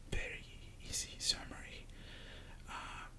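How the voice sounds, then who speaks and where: Noticeable background noise fills the clip. The speech is whispered at a fairly slow pace. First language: Spanish. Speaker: ASMR creator. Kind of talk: soft-spoken ASMR story time talking to camera. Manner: soft-spoken, slow, hesitant.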